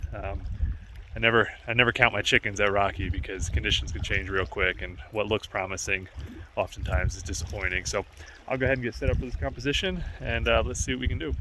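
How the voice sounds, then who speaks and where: A man races through his words very fast while background noise remains clearly audible. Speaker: landscape photographer. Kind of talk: on-location vlog narration. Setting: outdoors in a national park valley. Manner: casual, hesitant with fillers; talking quietly.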